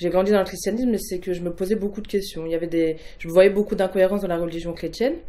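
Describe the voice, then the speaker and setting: The speaker is a woman. Her pitch is medium. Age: 20s. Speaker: religious convert. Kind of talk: testimony. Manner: halting, many hesitations.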